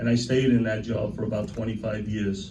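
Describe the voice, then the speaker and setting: Audible room echo surrounds a man speaking at a fairly quick pace. His intonation stays monotone and flat. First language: Italian (Sicilian). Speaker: union president. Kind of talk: speech to members at a celebration. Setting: union hall event with audience. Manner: informal, repetitive.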